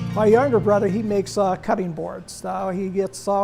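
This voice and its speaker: A man speaks in a high pitch with monotone, flat intonation. Music plays in the background. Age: 70s. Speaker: woodturner. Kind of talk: interview monologue. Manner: hesitant, with fillers.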